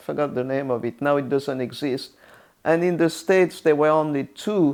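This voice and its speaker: A woman with a French accent speaks in a very deep, low pitch. Her pace is moderate and her pitch variation is ordinary. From France, Orléans. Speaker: retired UN interpreter. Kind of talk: interview. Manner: halting, many fillers and restarts.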